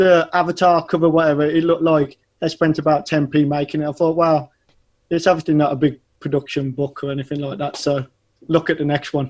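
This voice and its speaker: Fairly high in pitch, a man with an English accent talks in a monotone, flat intonation. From English Midlands. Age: 30s. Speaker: animation studio owner. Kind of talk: casual interview. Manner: hesitant, many fillers.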